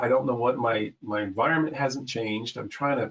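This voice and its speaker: At a fairly quick pace, a man talks in a medium pitch with fairly even intonation and a plain, everyday voice. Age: 60s. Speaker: client. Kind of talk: casual chat.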